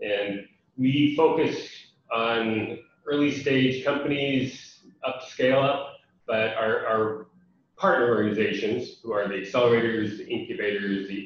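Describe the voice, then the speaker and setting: There is audible room echo around a man's voice. He speaks with an American accent and ordinary pitch variation. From USA. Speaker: international development program representative. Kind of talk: webinar presentation. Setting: online webinar. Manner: many fillers (um, uh).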